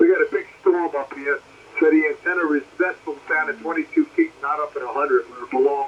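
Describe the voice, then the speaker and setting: A man talks at a fairly quick pace with an American accent. Noticeable background noise runs underneath. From Brooklyn, New York. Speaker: amateur radio operator. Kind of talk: ham radio contact. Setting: radio transmission.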